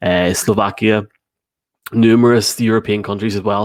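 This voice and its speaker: In a very clean recording with a silent background and a dry, close sound with no echo, a man with an Irish accent speaks at a moderate pace in a fairly low pitch with monotone, flat intonation. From Ireland. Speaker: sports podcast host. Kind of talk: casual chat. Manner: halting.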